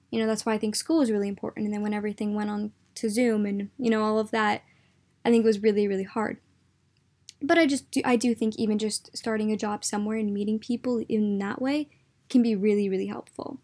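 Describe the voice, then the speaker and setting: Very fast and with fairly even intonation, a woman talks in a dark, mellow tone in a very clean recording with a silent background. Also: fairly high pitch for a woman. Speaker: podcast host. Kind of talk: casual monologue. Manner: rambling, filler-heavy.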